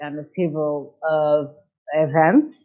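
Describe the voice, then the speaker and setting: In a Portuguese accent, a woman talks very slowly. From Portugal. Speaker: chamber of commerce director. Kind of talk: interview. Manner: halting, many hesitations.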